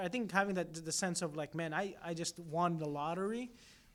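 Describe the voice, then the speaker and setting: Very fast speech in a Filipino accent, with fairly even intonation. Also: man. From Philippines. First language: Filipino languages. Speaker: entrepreneur. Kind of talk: casual chat.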